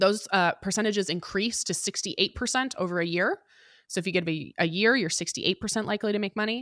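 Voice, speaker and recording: A woman with an American accent speaks at a very fast pace and a medium pitch with ordinary pitch variation, in a dry, close sound with no echo on a very clean recording with a silent background. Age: 20s. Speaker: personal finance podcast host. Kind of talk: interview conversation.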